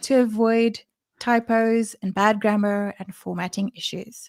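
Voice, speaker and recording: On a very clean recording with a silent background, a woman with a non-native accent speaks slowly at a fairly high pitch. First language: not English. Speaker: developer advocate. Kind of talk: livestream presentation. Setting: livestream.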